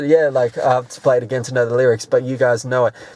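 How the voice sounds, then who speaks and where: Here a man speaks with an Australian accent. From Australia, Sydney. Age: 20s. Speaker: rapper. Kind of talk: interview. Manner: casual.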